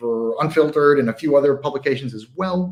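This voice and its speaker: The speaker has a normal speaking voice and an American accent. Delivery is fairly quick, with lively intonation. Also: man. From United States. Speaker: whisky writer and tasting host. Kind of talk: livestream charity tasting intro. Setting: livestream.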